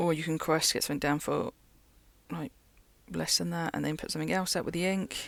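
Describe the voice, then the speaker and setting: Long, frequent pauses fill a very clean recording with a silent background. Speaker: card game content creator. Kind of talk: gameplay commentary. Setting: local game store. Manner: casual, with slip-ups.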